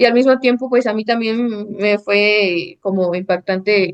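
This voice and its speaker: Speaking at a medium pitch, a woman keeps a fairly slow pace and fairly even intonation. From Mexico, Sierra de Zongolica, central Veracruz. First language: Nahuatl (speaking Spanish). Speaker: architect and painter. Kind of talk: interview conversation. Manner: hesitant, many fillers.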